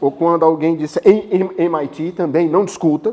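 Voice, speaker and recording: The tone of this man's voice is dark and mellow. He talks at a high pitch. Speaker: professor, guest lecturer. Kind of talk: lecture. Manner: fast; animated.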